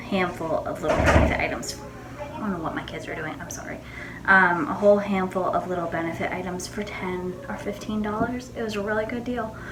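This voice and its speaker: A quiet woman's voice at medium pitch, very fast, with ordinary pitch variation, big swings in loudness, noticeable background noise and audible room echo. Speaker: beauty vlogger. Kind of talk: casual makeup tutorial. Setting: home bathroom. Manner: subdued.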